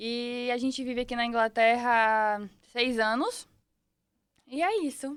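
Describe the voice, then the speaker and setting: A woman speaks at a fairly slow pace with a high pitch, fairly even intonation and long, frequent pauses, on a very clean recording with a silent background. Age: 20s. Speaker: podcast guest, mother. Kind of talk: casual interview.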